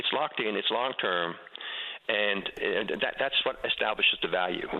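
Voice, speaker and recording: At a moderate pace and with very even loudness, a man speaks over noticeable background noise. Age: 70s. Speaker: whistleblower, former oversight panel member. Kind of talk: radio call-in interview. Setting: phone call to radio show. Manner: halting, many repetitions.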